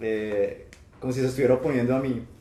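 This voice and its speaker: A man with a medium pitch, a dark, mellow tone, ordinary pitch variation, and audible room echo. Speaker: professor and researcher. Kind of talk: testimony in live church stream. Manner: halting.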